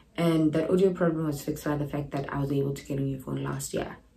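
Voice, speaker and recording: Amid noticeable background noise and audible room echo, a woman with a very deep, low pitch talks at a fairly quick pace with fairly even intonation. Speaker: YouTuber. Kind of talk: casual vlog.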